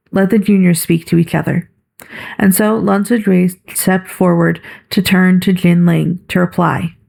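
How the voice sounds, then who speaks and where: A woman with a medium pitch and a somewhat breathy voice talks at a moderate pace in a monotone, flat intonation, keeping her loudness very even. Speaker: amateur audiobook narrator. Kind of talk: audiobook reading of a novel. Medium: read story.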